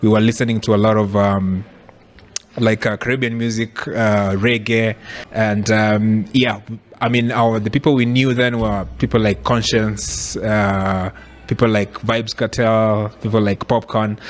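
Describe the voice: A man at a fairly slow pace, fairly low in pitch, with little pitch movement.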